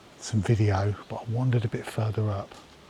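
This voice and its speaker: A man whispers with an English accent at a moderate pace. Noticeable noise sits in the background. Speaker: wildlife photographer vlogger. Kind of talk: casual vlog narration. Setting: outdoors. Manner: whispering.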